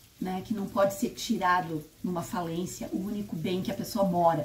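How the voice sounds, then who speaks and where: The pace stays moderate and the pitch varies in an ordinary way, with noticeable background noise present. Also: woman. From Brazil, interior of Paraná. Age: 60s. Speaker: spiritist YouTuber. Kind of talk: personal testimony. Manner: conversational, self-correcting.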